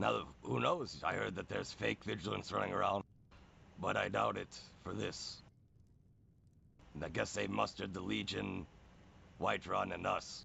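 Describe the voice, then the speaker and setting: A man uses a put-on character voice, raspy and very deep in pitch. He moves at a moderate pace with long, frequent pauses. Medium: game stream. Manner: blunt, plain-spoken.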